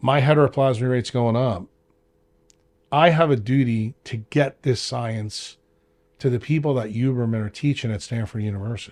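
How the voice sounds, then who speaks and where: With an American accent and an animated tone, the speaker goes at a moderate pace with ordinary pitch variation in a very clean recording with a silent background. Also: man, medium pitch for a man. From New York. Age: 60s. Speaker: doctor. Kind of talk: interview.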